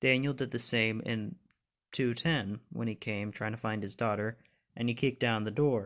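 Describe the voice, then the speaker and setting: A man speaks at a medium pitch and a moderate pace, with fairly even intonation. The recording is very clean, with a silent background. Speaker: YouTuber giving TV show commentary. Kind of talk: casual monologue review. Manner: halting, self-correcting.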